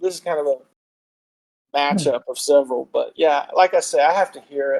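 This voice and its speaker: In a dry, close sound with no echo, a man with an American accent speaks at a moderate pace with big swings in loudness. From Texas. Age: 60s. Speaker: podcast guest. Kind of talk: casual chat.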